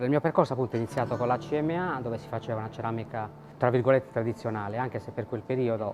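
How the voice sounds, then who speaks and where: A man speaks at a medium pitch with ordinary pitch variation and a very fast pace. Music plays in the background. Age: 60s. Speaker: ceramic artisan. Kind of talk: interview. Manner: hesitant, with fillers.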